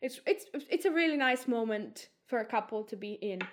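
A woman with a Greek accent speaks at a moderate pace and a fairly high pitch, with lively intonation. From Greece. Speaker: theatre and film director. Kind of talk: casual interview. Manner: hesitant, many fillers.

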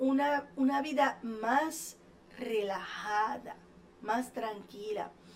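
This woman has a high-pitched voice that varies in pitch in an ordinary way. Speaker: hypnotherapist and show host. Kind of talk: motivational talk.

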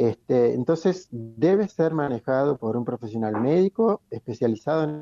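This man's tone is dark and mellow, his pitch medium, his pace fairly slow. The sound is dry and close, with no echo. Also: lively intonation, hardly any pauses. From Argentina, Patagonia (Chubut). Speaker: medical doctor, cannabis columnist. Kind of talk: radio interview, explanatory Q&A. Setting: radio broadcast. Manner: halting, many fillers.

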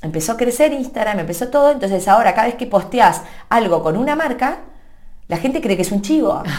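A woman speaks at a high pitch with very wide pitch swings. Her pace is fairly quick. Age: 30s. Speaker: social media content creator. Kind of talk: interview. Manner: animated.

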